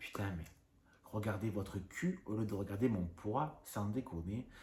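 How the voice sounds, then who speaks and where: Fairly low in pitch with ordinary variation, a man speaks at a fairly slow pace, his tone dark and mellow and somewhat breathy. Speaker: YouTuber. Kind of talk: casual rant to camera. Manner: trouble pronouncing some sounds.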